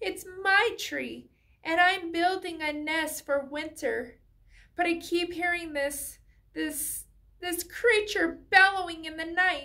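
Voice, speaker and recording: In an extremely high put-on character voice, a woman talks fairly slowly. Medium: read story. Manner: shy, stammering at first.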